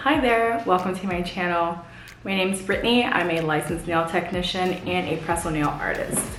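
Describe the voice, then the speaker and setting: Amid noticeable background noise and audible room echo, a woman speaks at a fairly low pitch. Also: ordinary pitch variation. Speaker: nail technician and small business owner. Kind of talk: channel introduction vlog. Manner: fast.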